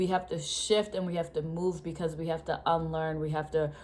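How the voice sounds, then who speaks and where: At a moderate pace, a woman speaks with a slight Rhode Island accent. Her very deep, low voice has monotone, flat intonation. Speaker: educator and vlogger. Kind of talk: casual talk-to-camera explainer. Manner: hesitant, many fillers and repetitions.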